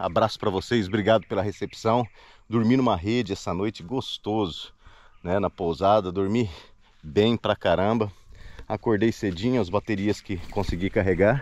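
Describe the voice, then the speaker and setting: This man has an unremarkable speaking voice with a fairly low pitch and ordinary pitch variation. He speaks at a moderate pace, and the sound is dry with no echo. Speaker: solo kayak expedition vlogger. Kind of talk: casual vlog chat. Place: waterside. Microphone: phone near.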